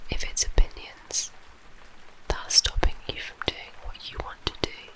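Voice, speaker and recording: A woman whispers at a moderate pace, with big swings in loudness. Noticeable background noise runs underneath. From British. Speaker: ASMR creator. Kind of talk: ASMR guided relaxation. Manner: whispered, soft-spoken.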